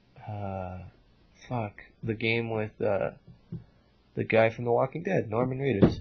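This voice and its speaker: A man talks at a fairly slow pace, his voice somewhat breathy, with long, frequent pauses. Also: medium pitch for a man, ordinary pitch variation. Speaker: podcast host. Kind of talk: casual chat.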